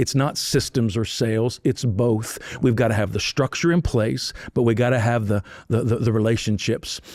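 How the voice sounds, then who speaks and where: A man's medium-pitched voice with fairly even intonation and very even loudness. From northern US. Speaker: university president. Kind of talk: interview. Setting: live recording at a conference. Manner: fast.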